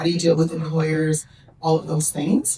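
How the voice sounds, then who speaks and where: A woman with a Canadian accent speaks at a moderate pace in a fairly low, somewhat breathy voice. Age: 50s. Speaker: senior government official. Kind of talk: conference panel Q&A answer. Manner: hesitant fillers.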